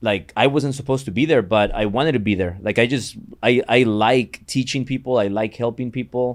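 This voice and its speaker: A man with a Mexican accent speaks at a medium pitch with fairly even intonation. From Mexico. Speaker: entrepreneur and mortgage business owner. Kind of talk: podcast interview.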